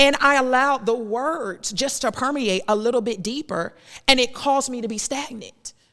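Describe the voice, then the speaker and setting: A loud woman speaks fairly slowly at fairly high pitch in a bright, sharp tone with lively intonation. The recording is very clean, with a silent background. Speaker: podcast host and minister. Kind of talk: preaching-style faith podcast monologue. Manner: loud, preacher-like delivery; animated.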